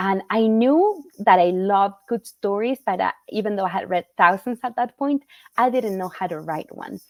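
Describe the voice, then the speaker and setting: A woman with a Spanish accent, medium-pitched, in a dry, close sound with no echo. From Argentina, Rosario. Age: 40s. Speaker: children's book author. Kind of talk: interview.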